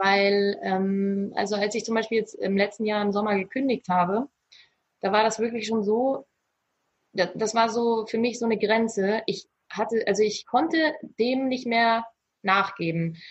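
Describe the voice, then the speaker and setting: A fairly high, somewhat breathy voice of a woman, ordinary in pitch variation. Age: 30s. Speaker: virtual assistant. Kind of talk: interview. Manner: halting, many fillers.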